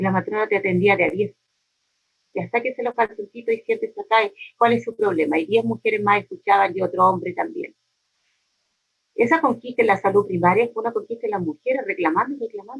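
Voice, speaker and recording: At a fairly quick pace, an unremarkable speaking voice moves with lively intonation. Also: woman, fairly high pitch for a woman. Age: 60s. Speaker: neighborhood community leader. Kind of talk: interview.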